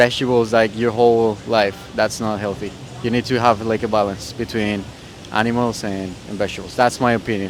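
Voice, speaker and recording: Man at a moderate pace, medium-pitched, in a monotone, flat intonation, with music in the background. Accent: Spanish. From Costa Rica. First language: Spanish. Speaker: street interviewee. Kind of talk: casual street interview. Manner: hesitant, many fillers.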